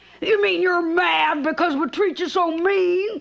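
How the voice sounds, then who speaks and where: A woman's cartoonish character voice, extremely high-pitched, with fairly even intonation. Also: fairly slow pace. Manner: loud, coarse, brash.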